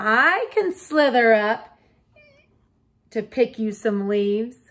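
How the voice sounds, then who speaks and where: Using a put-on character voice, a woman speaks at a very slow pace with a fairly high pitch. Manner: offering help, slithery.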